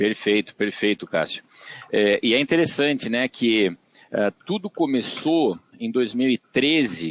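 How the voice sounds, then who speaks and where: A man with a São Paulo interior accent, medium pitch and very wide pitch swings, at a fairly slow pace, with a dry, close sound and no echo. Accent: caipira accent from São Paulo interior. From Brazil, Tatuí, São Paulo interior. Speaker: agronomist and digital business executive. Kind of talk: podcast interview. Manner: hesitant, many fillers.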